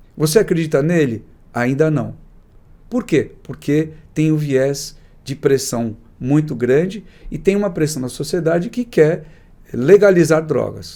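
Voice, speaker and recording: A man with a fairly high pitch speaks at a fairly slow pace, leaving long, frequent pauses. His tone is dark and mellow, with ordinary pitch variation. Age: 60s. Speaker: psychiatrist. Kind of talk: interview. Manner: conversational, with hesitations.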